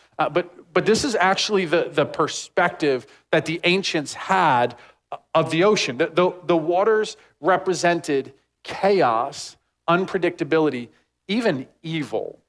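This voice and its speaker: Fairly slowly, a man talks in a high voice. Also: ordinary pitch variation. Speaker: pastor. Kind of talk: sermon. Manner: casual, filler-heavy.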